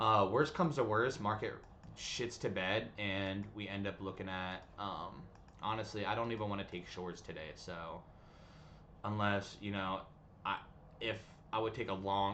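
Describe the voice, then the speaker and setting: Audible room echo surrounds a man whose bright, sharp tone carries fairly even intonation. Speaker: day trading streamer. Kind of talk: live trading stream chat. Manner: fast; casual, filler-heavy.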